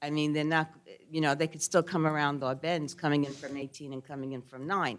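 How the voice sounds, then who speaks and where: Someone speaks at a fairly quick pace with a Brooklyn accent. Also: woman. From New York, Brooklyn. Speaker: resident speaking at public meeting. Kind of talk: public comment at zoning hearing.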